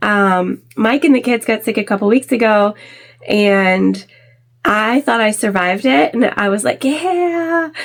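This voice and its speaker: Recorded very cleanly against a silent background, a woman with a fairly high pitch talks at a fairly slow pace, her pitch swinging very widely while her loudness stays very even. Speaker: sewing YouTuber. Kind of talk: tutorial. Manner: casual, chatty.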